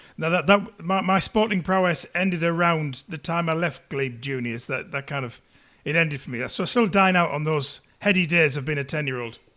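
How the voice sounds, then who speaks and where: A man with a Teesside accent and a bright, sharp tone, at a fairly quick pace with ordinary pitch variation, on a very clean recording with a silent background. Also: fairly high pitch for a man. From northern England, Teesside. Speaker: podcast host. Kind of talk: interview.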